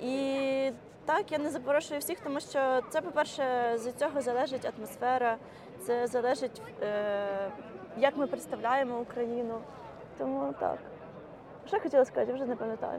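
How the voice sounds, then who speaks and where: A woman with a high pitch speaks at a moderate pace, using ordinary pitch variation. She leaves long, frequent pauses, and noticeable background noise is present. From Ukraine. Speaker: community organizer. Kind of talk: casual chat. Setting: outdoors.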